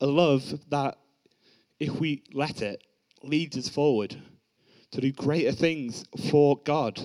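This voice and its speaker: At a very slow pace, a man speaks with fairly high pitch and fairly even intonation. He leaves long, frequent pauses. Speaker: young preacher at youth service. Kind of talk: sermon. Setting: church.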